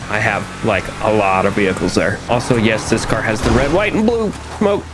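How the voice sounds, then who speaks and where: Music plays in the background as a man talks at medium pitch and a fairly quick pace. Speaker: gaming youtuber. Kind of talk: gameplay commentary. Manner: casual; stuttering.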